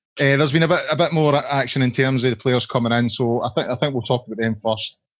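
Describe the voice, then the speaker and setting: A man with a Scottish accent at a fairly quick pace. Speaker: podcast host, football fan site. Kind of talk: casual football podcast discussion.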